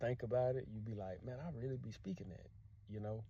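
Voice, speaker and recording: A man with a Louisiana accent speaks in a dark, mellow tone, and the room echo is audible. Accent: Louisiana accent, keeps it. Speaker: language teacher vlogger. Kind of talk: casual vlog monologue.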